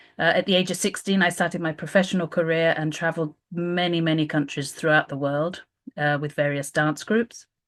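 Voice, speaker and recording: A fairly low-pitched woman's voice in a British accent, fairly quick in pace, against a quiet background. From UK. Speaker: volunteer program manager. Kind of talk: informational presentation. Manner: hesitant, many filler sounds.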